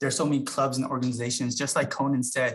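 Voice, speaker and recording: A man's fairly high, somewhat breathy voice rushes along at a very fast pace. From US, immigrant family. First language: not English. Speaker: university staff member. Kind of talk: panel talk.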